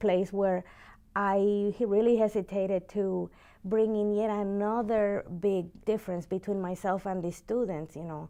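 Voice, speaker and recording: A woman speaks at a medium pitch in a dark, mellow tone and at a moderate pace. Her intonation is monotone and flat, over a quiet background. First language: Spanish. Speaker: university teacher. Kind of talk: interview. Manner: halting.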